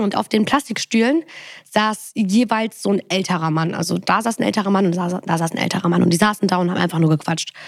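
A woman with a normal speaking voice talks at a fairly quick pace and medium pitch, with ordinary pitch variation, in a dry, close sound with no echo. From Germany, Bonn. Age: 20s. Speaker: podcast host. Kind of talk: casual chat.

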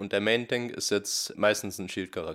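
Here a man speaks with a plain, everyday voice at a fairly low pitch and a moderate pace. The recording is very clean, with a silent background. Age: 20s. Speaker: esports player. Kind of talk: interview.

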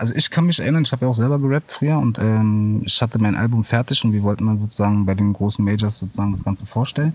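A man with a fairly low pitch talks at a very fast pace, his loudness very even and hardly any pauses breaking the flow. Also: ordinary pitch variation. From Berlin. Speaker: former rapper. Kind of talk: interview.

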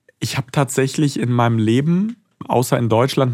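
A man's moderately paced speech, its pitch varying an ordinary amount. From Germany. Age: 20s. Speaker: foreign correspondent. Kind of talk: interview.

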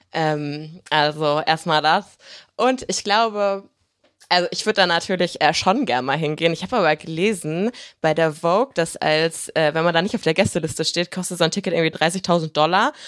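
A woman at a moderate pace, fairly low in pitch, with ordinary pitch variation. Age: 20s. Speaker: online video presenter. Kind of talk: casual chat.

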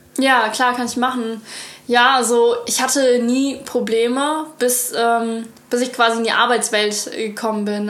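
Audible room echo and noticeable background noise surround a woman who speaks fairly slowly in a monotone, flat way. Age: 20s. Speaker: cooking content creator. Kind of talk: casual chat.

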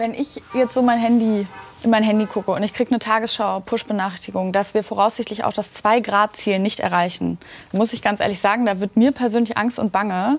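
The woman has an unremarkable speaking voice with a fairly high pitch. She talks at a fairly quick pace with fairly even intonation. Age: 20s. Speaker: youth interviewer. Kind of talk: political interview. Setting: studio.

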